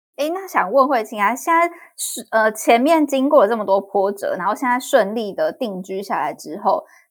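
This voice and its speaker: A Taiwanese accent at a moderate pace, with very wide pitch swings and hardly any pauses. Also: woman, high pitch for a woman. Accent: Taiwanese Mandarin. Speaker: podcast host. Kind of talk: interview.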